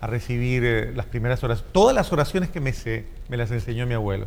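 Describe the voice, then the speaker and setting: The speech moves at a fairly quick pace in a Colombian accent. Audible room echo surrounds it. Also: man. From Colombia, Cali. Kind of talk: interview. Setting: church.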